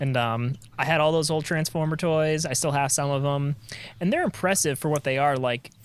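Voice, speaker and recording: A man's normal speaking voice, fairly high in pitch, at a fairly quick pace with fairly even intonation and very even loudness. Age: 30s. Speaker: podcast co-host. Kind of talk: casual chat.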